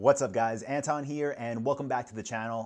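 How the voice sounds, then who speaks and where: A man with an American accent and an unremarkable speaking voice talks at a medium pitch with fairly even intonation over a quiet background. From New York. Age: 30s. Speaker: online entrepreneur and business vlogger. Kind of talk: casual vlog advice talk. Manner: conversational, filler-heavy.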